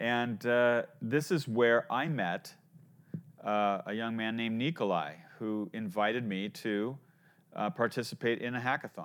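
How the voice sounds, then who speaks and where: Here is a normal speaking voice at a fairly slow pace, with ordinary pitch variation. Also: man, medium pitch for a man. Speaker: podcast host, startup advisor. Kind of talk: interview.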